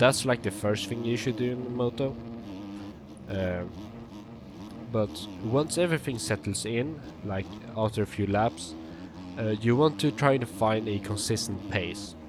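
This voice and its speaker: Fairly low-pitched man with a Swedish accent, fairly slow, with long, frequent pauses and ordinary pitch variation. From Sweden. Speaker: sim racing gamer and coach. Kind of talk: gameplay commentary tutorial. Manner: hesitant, many fillers.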